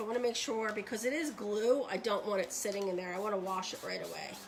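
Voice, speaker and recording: With music in the background, a woman talks at a very fast pace in a fairly high voice with fairly even intonation. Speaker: craft demonstrator and seller. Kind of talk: live tutorial. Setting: live stream at home desk. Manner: casual, chatty; quiet while focusing.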